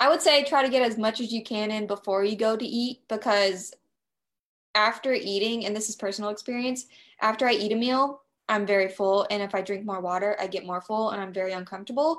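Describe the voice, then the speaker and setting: A woman's normal speaking voice, fairly high in pitch, with ordinary pitch variation and a fairly quick pace. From US South. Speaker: nutrition coach. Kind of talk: casual chat.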